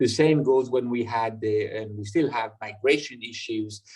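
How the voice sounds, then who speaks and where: A man speaks at a moderate pace with a French accent, his pitch sitting in the middle of the male range. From France. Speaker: European party representative, speaker. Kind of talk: online public lecture. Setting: online video conference. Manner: halting, many fillers and repetitions.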